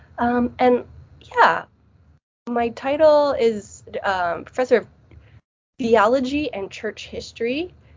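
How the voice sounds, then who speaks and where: Very slowly and with long, frequent pauses, a woman speaks in a high voice with ordinary pitch variation. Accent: Midwestern. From US Northeast, New Jersey. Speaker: theology professor. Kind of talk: interview.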